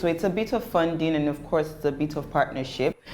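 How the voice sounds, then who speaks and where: At a very fast pace, a woman speaks with a very deep, low pitch. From Nigeria (Lagos). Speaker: entrepreneur. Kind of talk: interview. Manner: pitch rises when passionate; animated.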